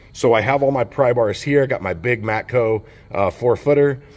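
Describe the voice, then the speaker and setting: A man talks at a fairly slow pace with ordinary pitch variation while music plays behind him. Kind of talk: casual tool tour commentary. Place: workshop. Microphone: phone near.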